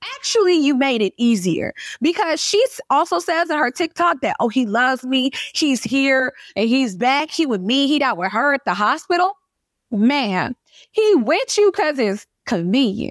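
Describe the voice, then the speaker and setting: A woman's high voice at a moderate pace, with very wide pitch swings and very even loudness, in a very clean recording with a silent background and a dry, close sound with no echo. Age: 30s. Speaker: podcast host and micro influencer. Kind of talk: casual chat. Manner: animated.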